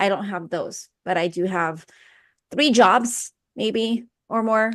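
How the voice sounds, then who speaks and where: At a very slow pace, a woman in a Filipino accent speaks at a fairly high pitch with ordinary pitch variation against a quiet background. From Philippines. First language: Filipino language. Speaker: personal development coach. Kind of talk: interview.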